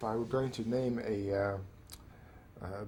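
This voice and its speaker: There is a somewhat breathy quality to this man's medium-pitched voice. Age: 70s. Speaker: pianist. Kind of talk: interview answer.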